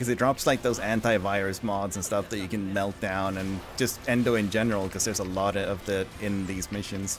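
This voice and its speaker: Music plays in the background as a man speaks at a fairly quick pace. His pitch is fairly low, with fairly even intonation. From Sweden. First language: Swedish. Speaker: gaming streamer. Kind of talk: live game stream chat. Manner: casual, hesitant with fillers.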